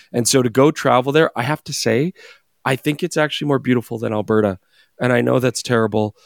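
Vocal fry with ordinary pitch variation, dry and close with no echo, on a very clean recording with a silent background. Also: man. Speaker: photography podcast co-host. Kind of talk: casual chat.

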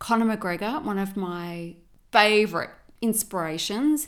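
In an Australian accent, the speaker has an animated tone with ordinary pitch variation, on a very clean recording with a silent background. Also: woman. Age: 50s. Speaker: business coach and podcast host. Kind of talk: motivational monologue.

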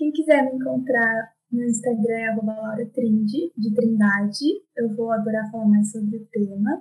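At a moderate pace, a woman speaks in an unremarkable speaking voice, fairly high in pitch with fairly even intonation. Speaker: fashion designer. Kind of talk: casual interview.

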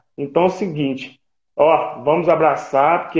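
The voice belongs to a man and sits fairly high in pitch. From Brazil, Minas Gerais (Ipatinga). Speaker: retired footballer. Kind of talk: casual chat. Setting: video call.

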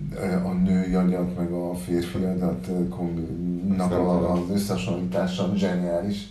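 A man speaks at a fairly slow pace in a very deep, low pitch with monotone, flat intonation. Audible room echo and noticeable background noise surround his voice. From Uruguay. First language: Spanish (speaking Hungarian). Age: 40s. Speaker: musician, band frontman. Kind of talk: casual interview.

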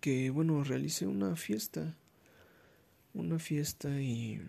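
A man's dark, mellow tone with a Mexican accent. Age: 20s. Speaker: podcaster. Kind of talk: casual monologue. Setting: recording at night.

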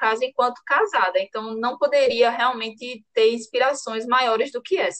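Her voice high in pitch, a woman speaks with intonation that shifts in an ordinary way. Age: 30s. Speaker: lawyer. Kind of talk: interview.

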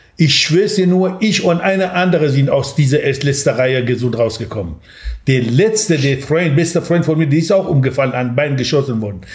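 With audible room echo and noticeable background noise, a man talks at a fairly quick pace in a fairly high pitch with lively intonation. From Iranian Kurdistan (Sanandaj). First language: Kurdish (speaking German). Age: 60s. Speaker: café owner. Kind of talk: interview.

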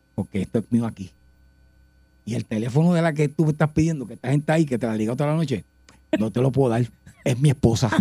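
A man talks very fast in a somewhat breathy voice with a dark, mellow tone, stopping for long, frequent pauses. The sound is dry and close, with no echo. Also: medium pitch for a man, ordinary pitch variation. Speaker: radio host. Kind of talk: casual chat. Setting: studio.

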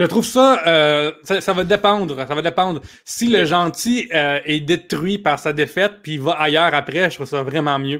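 A man with an ordinary speaking voice talks at a moderate pace in a fairly high pitch, with ordinary pitch variation and hardly any pauses. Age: 30s. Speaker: comedian and writer. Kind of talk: casual chat.

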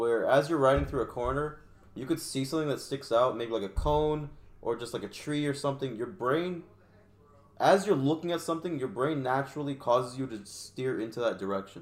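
In a plain, everyday voice, a man talks at a fairly quick pace with medium pitch and ordinary pitch variation. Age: 20s. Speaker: podcast guest, motorcyclist. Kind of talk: casual chat.

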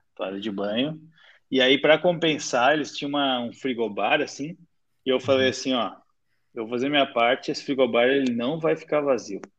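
A man at medium pitch with a plain, everyday voice, ordinary pitch variation, and a fairly quick pace. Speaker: podcast host. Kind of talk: casual chat.

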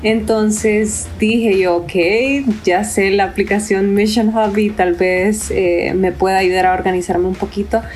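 In a normal speaking voice, the speaker goes at a fairly slow pace with fairly even intonation, hardly any pauses and very even loudness. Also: woman, medium pitch for a woman. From Honduras. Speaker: missionary ministry worker. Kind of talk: podcast interview.

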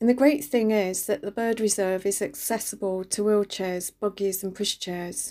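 On a very clean recording with a silent background, a woman with a London accent talks at a moderate pace and medium pitch, her tone dark and mellow and her intonation fairly even. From East London, England. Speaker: radio reflection speaker. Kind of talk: scripted reflection.

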